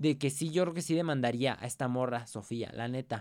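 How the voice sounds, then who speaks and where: The recording is very clean, with a silent background. A man talks at medium pitch and a moderate pace, his intonation fairly even. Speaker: podcast host. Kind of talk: casual chat. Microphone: new pop filter on microphone.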